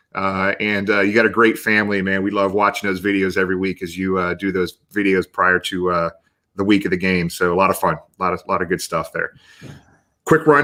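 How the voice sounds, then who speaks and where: With a bright, sharp tone and an American accent, a man talks at a fairly quick pace. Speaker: talk show host. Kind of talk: casual live show chat. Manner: fast; animated.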